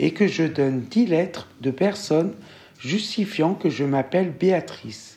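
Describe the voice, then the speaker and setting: A woman's fairly low voice, dark and mellow in tone, at a very slow pace with very wide pitch swings. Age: 40s. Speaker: interviewee sharing a discrimination story. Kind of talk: testimony.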